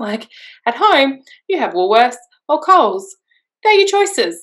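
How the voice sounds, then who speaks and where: In an Australian accent, a woman with a bright, sharp tone talks at a fairly slow pace, her pitch swinging very widely. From rural New South Wales, Australia. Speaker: expat mother. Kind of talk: interview.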